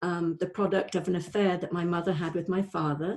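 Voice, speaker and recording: Here a woman talks in a Welsh accent. Her pitch is fairly low and her pace moderate. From North Wales. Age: 60s. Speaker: life coach. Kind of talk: testimony. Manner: halting, many fillers.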